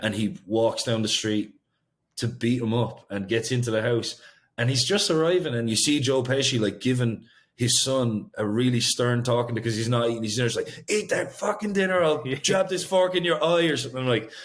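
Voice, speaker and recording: The speaker has an Irish accent and a fairly quick pace. The intonation is lively. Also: man, medium pitch for a man. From Ireland. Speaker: singer-songwriter. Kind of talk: interview answer.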